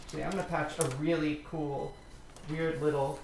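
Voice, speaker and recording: The speech comes at a moderate pace, with noticeable background noise around it. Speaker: modular synth artist. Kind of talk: tutorial.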